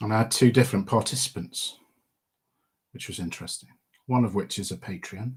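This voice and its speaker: With a Midlands accent, a somewhat breathy man of medium pitch speaks at a fairly quick pace with ordinary pitch variation. His loudness swings widely, and he takes long, frequent pauses. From English Midlands. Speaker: podcaster and wargames miniature painter. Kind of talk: live stream Q&A chat. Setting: live stream. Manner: casual, with fillers.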